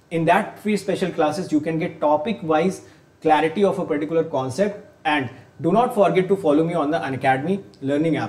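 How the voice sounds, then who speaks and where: The man's intonation sounds lively. He keeps a fairly quick pace. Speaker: online exam teacher. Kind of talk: promotional intro to a lecture. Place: studio.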